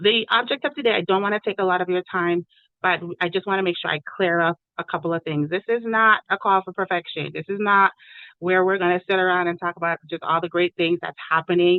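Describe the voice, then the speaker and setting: Here is a woman with an unremarkable speaking voice at a medium pitch. She talks at a fairly quick pace with fairly even intonation. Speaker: education program facilitator. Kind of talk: online meeting presentation.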